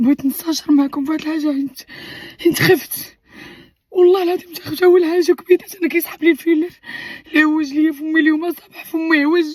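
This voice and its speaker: A woman with a Moroccan accent, her pitch extremely high, intonation fairly even, loudness swinging widely. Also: moderate pace. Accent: Moroccan Arabic (Darija). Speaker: vlogger. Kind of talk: casual chat to viewers.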